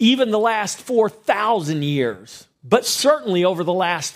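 Intonation here is lively. The delivery is in a natural reading voice.

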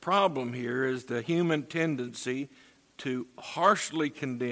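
Ordinary pitch variation in plain reading aloud.

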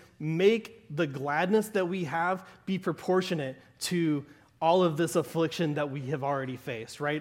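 In a very clean recording with a silent background, a man with an American accent speaks at a moderate pace and a fairly high pitch, using ordinary pitch variation. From US South, southern Arkansas. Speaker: pastor. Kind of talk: sermon. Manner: conversational, with frequent laughs.

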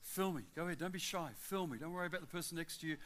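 A man with an Australian accent, at a very fast pace. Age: 60s. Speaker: travelling preacher. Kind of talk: sermon. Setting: church with congregation. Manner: animated.

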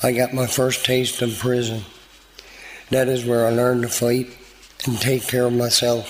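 A man speaks at a medium pitch in a flat monotone, keeping his loudness very even and leaving long, frequent pauses. Noticeable background noise runs behind him. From Newfoundland, Canada (St. John's). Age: 50s. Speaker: recovery program graduate. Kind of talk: testimony.

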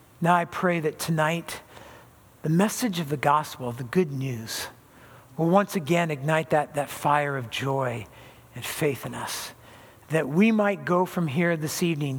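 A somewhat breathy man with an American accent talks at a fairly slow pace, his fairly high pitch showing ordinary variation. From Southern California. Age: 60s. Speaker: pastor. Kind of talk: sermon.

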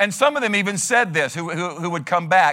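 On a very clean recording with a silent background, a man with a high pitch speaks in a raised, projected voice at a fairly quick pace, his tone animated, bright and sharp and his intonation lively. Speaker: pastor. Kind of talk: sermon. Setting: church. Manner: fast.

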